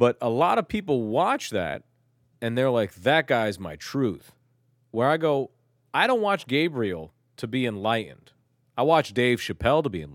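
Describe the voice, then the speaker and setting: On a very clean recording with a silent background, a man of medium pitch talks at a moderate pace with very wide pitch swings. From Turkey. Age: 20s. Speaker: podcast co-host. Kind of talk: casual chat.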